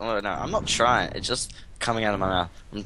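With noticeable background noise behind him, a man talks in a bright, sharp tone at a fairly low pitch. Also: dry sound with no echo. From Australia. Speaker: gaming video maker. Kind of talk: casual gaming commentary. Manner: animated, jokey.

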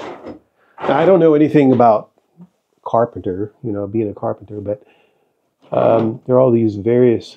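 Pitch varies in an ordinary way as a man speaks at a moderate pace. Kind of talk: casual vlog tour narration. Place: workshop. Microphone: phone near.

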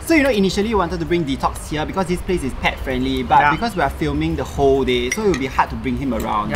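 The speech moves at a very fast pace over music in the background. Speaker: food vlogger. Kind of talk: casual vlog chat. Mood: cheerful but hot. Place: cafe.

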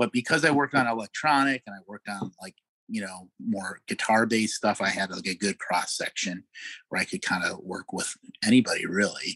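The man talks at a fairly quick pace with a medium pitch and ordinary pitch variation. The sound is dry and close with no echo. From Chicago. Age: 50s. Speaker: record producer. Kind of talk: interview.

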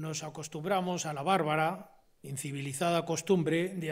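With a quiet background, a man talks using fairly even intonation. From Spain. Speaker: constitutional law professor; invited lecturer, constitutional law professor. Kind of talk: lecture. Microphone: podium.

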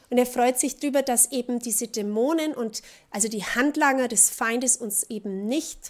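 A woman speaks at a high pitch in an animated tone. Her pitch varies in an ordinary way. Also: quiet background. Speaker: preacher. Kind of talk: sermon, preacher in full flow, passionate and urgent. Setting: church. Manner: animated, emphatic, mocking tone with laughter and rhetorical questions; rhythmic, repeating contrasts in pulpit style. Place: church.

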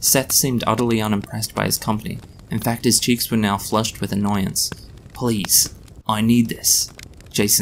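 The clip has an unforced reading voice. Its intonation is fairly even.

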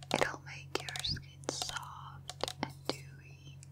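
Someone whispers over noticeable background noise. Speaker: ASMR artist. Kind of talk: ASMR makeup role play. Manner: whispered; soft-spoken.

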